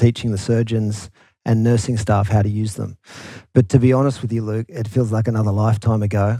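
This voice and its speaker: In a very clean recording with a silent background, a man with an Australian accent speaks at a fairly quick pace. His fairly low voice has a dark, mellow tone and monotone, flat intonation. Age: 40s. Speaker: company founder and CEO. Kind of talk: casual interview chat.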